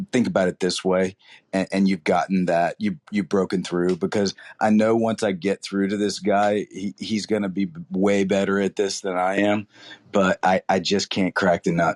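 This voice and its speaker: Over a quiet background with a dry, close sound and no echo, a man speaks at a moderate pace in a fairly low pitch with fairly even intonation. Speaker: caller asking a question. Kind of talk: casual Q&A on audio chat. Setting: audio chat room app. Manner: halting, many fillers.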